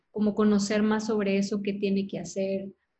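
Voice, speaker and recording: A woman talks at a moderate pace in a fairly high voice. Her delivery is somewhat breathy. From Monterrey, Mexico. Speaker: podcast host. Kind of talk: interview conversation.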